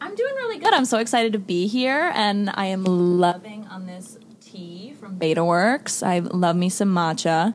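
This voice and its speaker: A woman with an American accent speaks at medium pitch with ordinary pitch variation and hardly any pauses. Her loudness swings widely over noticeable background noise. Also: moderate pace. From US Midwest, outside Chicago. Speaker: actress and recap writer. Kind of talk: casual chat. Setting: studio.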